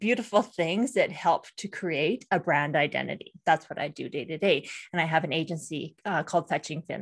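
Recorded very cleanly over a silent background, a woman with an unremarkable speaking voice talks at a moderate pace and fairly low pitch, her pitch varying in an ordinary way. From Canada. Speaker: brand designer and strategist, podcaster. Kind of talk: casual interview chat.

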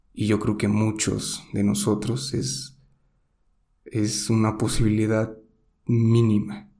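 A man's fairly low, dark, mellow voice with a Mexican accent, very slow with long, frequent pauses, fairly even intonation and very even loudness, in audible room echo. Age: 20s. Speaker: podcaster. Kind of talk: solo monologue podcast.

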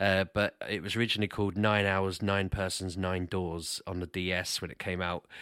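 The recording is very clean, with a silent background. A man with a British accent speaks at a moderate pace in a fairly low voice. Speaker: podcast co-host and gamer. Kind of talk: casual chat.

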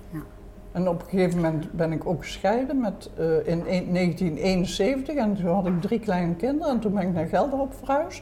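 A woman speaks at a medium pitch and a moderate pace. Noticeable background noise is present. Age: 80s+. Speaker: retired civil servant, grandmother. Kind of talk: casual chat. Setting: restaurant.

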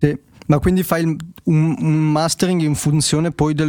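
A man with a fairly high voice speaks at a moderate pace in an ordinary speaking voice. The sound is dry and close, with no echo. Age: 20s. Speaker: podcast host. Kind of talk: casual technical discussion livestream.

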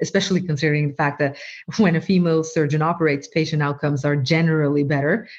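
This woman has a very deep, low pitch. She speaks with a Norwegian accent. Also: quiet background. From Norway. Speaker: medical doctor and AI researcher. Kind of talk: interview.

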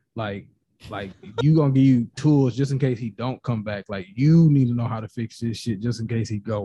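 A man's somewhat breathy voice at medium pitch, with a moderate pace, ordinary pitch variation and a quiet background. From Nashville, Tennessee. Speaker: podcaster guest. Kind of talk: casual chat.

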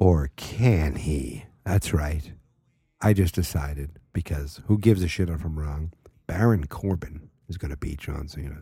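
A man's very deep, low voice, somewhat breathy, with ordinary pitch variation and big swings in loudness. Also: fairly slow pace. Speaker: wrestling podcast host. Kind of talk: casual solo podcast talk. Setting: home at night. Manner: rambling, many fillers.

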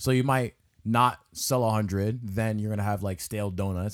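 A man with a normal speaking voice and fairly low pitch, moderate pace, ordinary pitch variation, on a very clean recording with a silent background. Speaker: podcast co-host. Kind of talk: casual chat.

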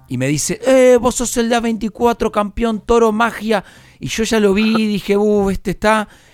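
A man with a high pitch. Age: 30s. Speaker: radio host. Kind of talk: interview. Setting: studio.

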